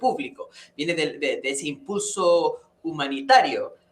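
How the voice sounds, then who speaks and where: A man's voice, high in pitch. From England. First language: English (speaking Spanish). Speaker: professor of public policy. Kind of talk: interview conversation. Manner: halting, many repetitions.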